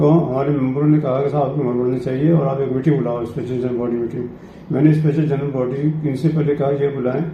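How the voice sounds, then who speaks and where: A man's fairly high voice in a flat monotone at a moderate pace, with audible room echo and noticeable background noise. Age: 70s. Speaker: cultural centre president. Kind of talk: interview.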